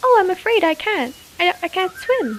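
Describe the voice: Here a woman puts on a cartoonish character voice. It sits at an extremely high pitch. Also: moderate pace.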